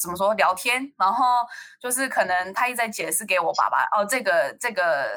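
Bright and sharp in tone, a woman's voice moves at a moderate pace with lively intonation. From United States. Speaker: college student. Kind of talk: casual chat. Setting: online call.

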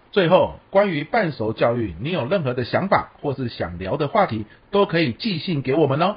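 This man speaks with vocal fry and very wide pitch swings. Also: fairly high pitch for a man, moderate pace, hardly any pauses. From Taiwan. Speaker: professional lecturer and podcast co-host. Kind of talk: casual chat.

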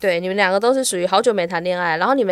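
Lively intonation marks this woman's medium-pitched voice. She speaks at a very fast pace. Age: 40s. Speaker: astrologer. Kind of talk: casual chat.

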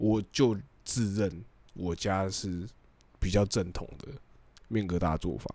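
With a very deep, low pitch and a dark, mellow tone, a man speaks very slowly, pausing long and often, his pitch varying in an ordinary way. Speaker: podcast co-host. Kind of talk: casual chat.

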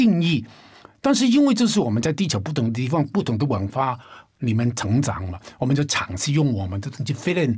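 A man at a medium pitch with very wide pitch swings, talking at a fairly quick pace. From Hong Kong. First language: Cantonese (speaking Chinese). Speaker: independent musician. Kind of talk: casual chat.

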